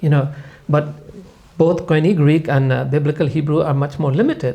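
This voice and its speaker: A man has a dark, mellow tone at a fairly high pitch. His voice is somewhat breathy, with fairly even intonation. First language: not English. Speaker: Bible scholar. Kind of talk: podcast panel discussion.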